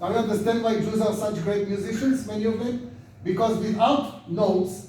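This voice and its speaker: Audible room echo and noticeable background noise fill this recording. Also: man. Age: 70s. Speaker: rabbi and lecturer. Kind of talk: lecture.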